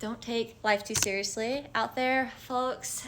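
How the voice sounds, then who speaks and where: Her pace is moderate. There is noticeable noise in the background as the woman speaks. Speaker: spiritual content creator. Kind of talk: casual vlog monologue. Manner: stumbling over words.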